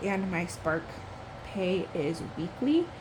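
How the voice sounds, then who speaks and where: A woman is speaking in a room with audible echo, and noticeable background noise is present as well. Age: 20s. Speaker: budgeting YouTuber. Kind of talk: casual vlog tutorial.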